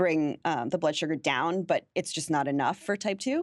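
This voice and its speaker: A woman's normal speaking voice, fairly low in pitch with ordinary pitch variation and a fairly quick pace, in a dry, close sound with no echo on a very clean recording with a silent background. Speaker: blogger and playwright. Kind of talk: interview.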